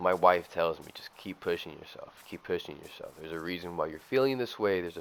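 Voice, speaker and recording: A man speaks with a very deep, low pitch. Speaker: gaming youtuber. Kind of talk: casual gameplay commentary. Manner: halting, many fillers.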